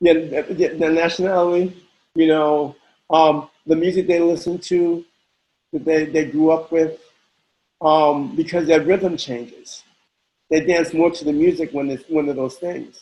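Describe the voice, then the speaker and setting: The voice has a dark, mellow tone and monotone, flat intonation. Its pace is fairly slow. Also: man, fairly high pitch for a man. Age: 60s. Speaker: house dancer. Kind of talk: interview. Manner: halting, many repetitions.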